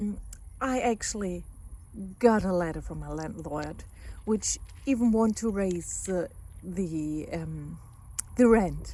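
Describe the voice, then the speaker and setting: A woman with a German accent speaks at a very slow pace with long, frequent pauses. Her loudness swings widely. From Germany. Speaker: family therapist, psychologist. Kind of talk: casual vlog monologue. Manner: hesitant, with repetitions.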